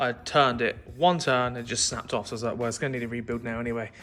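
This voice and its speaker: Music plays in the background as a man with an English accent talks at a very fast pace and a medium pitch. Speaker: car restoration youtuber. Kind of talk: vlog tutorial.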